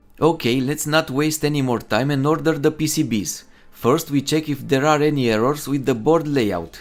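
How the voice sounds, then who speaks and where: Speaking with a Romanian accent, a man talks at a moderate pace with hardly any pauses, his fairly high pitch showing ordinary variation. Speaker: DIY electronics youtuber. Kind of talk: tutorial.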